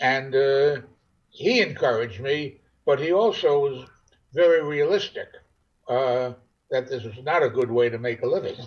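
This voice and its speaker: The delivery is somewhat breathy at a moderate pace, with ordinary pitch variation and long, frequent pauses. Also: man, fairly high pitch for a man. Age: 80s+. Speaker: first-time novelist. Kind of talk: interview. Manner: halting.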